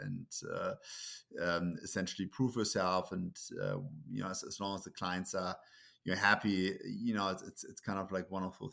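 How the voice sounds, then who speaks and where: This man talks at a moderate pace in a German accent. The recording is very clean, with a silent background. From Germany. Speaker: entrepreneur. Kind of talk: casual interview.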